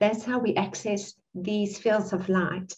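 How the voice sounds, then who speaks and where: A woman with a South African accent at a fairly slow pace. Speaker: spiritual teacher and channel. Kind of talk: guided meditation.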